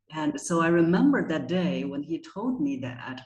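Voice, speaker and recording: The voice has a Chinese accent and very wide pitch swings. The pace is fairly slow. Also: woman. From China. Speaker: voice coach. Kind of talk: interview.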